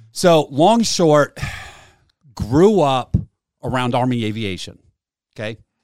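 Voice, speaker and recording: On a very clean recording with a silent background, a man at medium pitch with an American accent speaks at a very slow pace, with very wide pitch swings and long, frequent pauses. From Massachusetts. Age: 40s. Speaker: war veteran. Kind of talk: interview.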